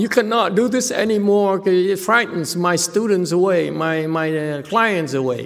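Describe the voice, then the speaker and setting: Against noticeable background noise, a man speaks fairly slowly at a high pitch with lively intonation. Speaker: Chan Buddhist teacher. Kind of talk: live Q&A teaching session. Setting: online livestream with viewer questions.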